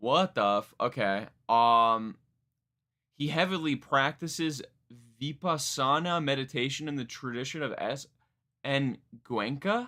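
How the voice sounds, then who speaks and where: A bright, sharp tone with ordinary pitch variation and long, frequent pauses. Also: man, fairly high pitch for a man. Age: 20s. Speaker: music reaction streamer. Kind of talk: live stream music reaction. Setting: live stream. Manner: fast; casual, halting.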